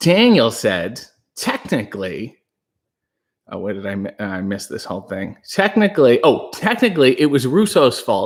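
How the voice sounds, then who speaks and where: On a very clean recording with a silent background, a man shows vocal fry and very wide pitch swings at a moderate pace. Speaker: livestream host, wrestling commentator. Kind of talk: casual livestream chat reading viewer comments. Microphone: new microphone, speaking softly to avoid blowing it out.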